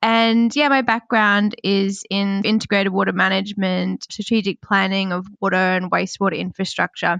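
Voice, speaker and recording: A woman in an Australian accent at medium pitch, moderate pace, very even loudness and fairly even intonation, dry and close with no echo against a quiet background. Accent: Australian twang. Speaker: water management engineer. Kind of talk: podcast discussion.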